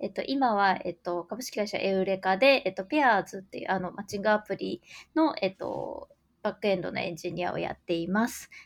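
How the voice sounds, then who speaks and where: A woman talks at a fairly quick pace with lively intonation and some vocal fry. Her pitch sits in the middle range. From Japan, Gifu prefecture. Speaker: software engineer. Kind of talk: interview conversation.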